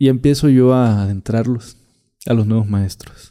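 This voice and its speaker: A man's medium-pitched voice, dark and mellow in tone, fairly slow and fairly even in intonation, on a very clean recording with a silent background. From Catemaco, Veracruz, Mexico. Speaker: witch doctor. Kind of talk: interview storytelling.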